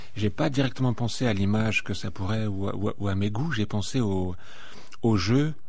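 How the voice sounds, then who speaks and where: Audible room echo surrounds a man speaking at a fairly low pitch with ordinary pitch variation and a moderate pace. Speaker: poet and performer. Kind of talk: interview. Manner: halting, stuttering delivery.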